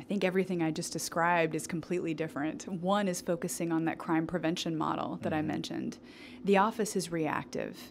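A woman with an American accent, fairly low in pitch with vocal fry, fairly even intonation and a very fast pace. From Missouri, US Midwest. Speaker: district attorney candidate, civil rights prosecutor. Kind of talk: interview.

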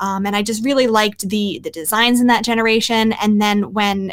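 Over a silent background in a very clean recording, a woman with a plain, everyday voice, fairly high in pitch, speaks at a moderate pace with ordinary pitch variation. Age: 20s. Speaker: games writer and podcaster. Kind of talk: casual chat.

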